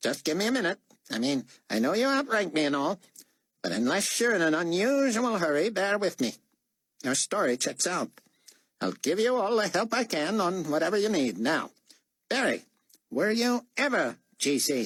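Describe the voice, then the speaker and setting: A man puts on a nasal, high-pitched character voice with very wide pitch swings. He keeps a moderate pace, broken by long, frequent pauses. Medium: read story. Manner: muffled, as if no tongue or nose; shrewd, suspicious.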